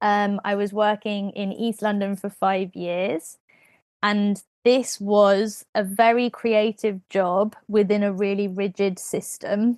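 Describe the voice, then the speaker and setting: Very slow and monotone in delivery, the speaker talks with a British accent in a dry, close sound with no echo over a quiet background. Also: woman, medium pitch for a woman. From Britain. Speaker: podcast host, creative wellbeing facilitator. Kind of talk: casual chat.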